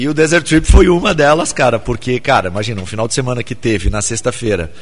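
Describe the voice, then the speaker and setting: Fairly quick and with lively intonation, a man talks in a plain, everyday voice at a medium pitch. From São Paulo. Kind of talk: casual chat. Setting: studio.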